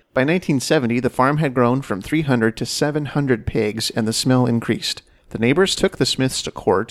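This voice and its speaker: A man with an unremarkable speaking voice talks at a medium pitch. His pace is moderate and his pitch variation ordinary. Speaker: podcast host. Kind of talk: casual chat.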